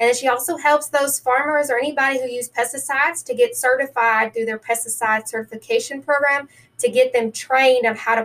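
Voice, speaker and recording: Upbeat and energetic, a woman talks at a fairly quick pace in a Tennessee accent. Her pitch is high with ordinary pitch variation. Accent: US Southern (Tennessee). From New Orleans, then western Tennessee. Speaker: county extension agent. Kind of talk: interview. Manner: upbeat, energetic.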